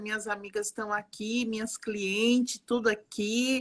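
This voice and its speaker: Her pace is fairly slow. The woman's pitch is fairly high. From Brazil, Alagoas (Northeast) mixed with interior São Paulo. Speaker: psychologist and art therapist. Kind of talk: live stream conversation. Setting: online live stream. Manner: warm, animated.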